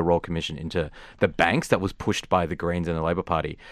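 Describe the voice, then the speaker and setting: In a very clean recording with a silent background, a man with an Australian accent talks at a very fast pace in a very deep, low voice. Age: 20s. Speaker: radio host. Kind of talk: casual chat.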